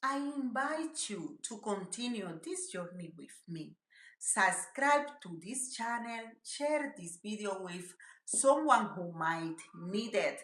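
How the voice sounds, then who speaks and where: Very slowly and in a strong Spanish accent, a woman speaks with a fairly high pitch, very wide pitch swings and big swings in loudness. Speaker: mental health YouTuber. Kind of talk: motivational talk to camera.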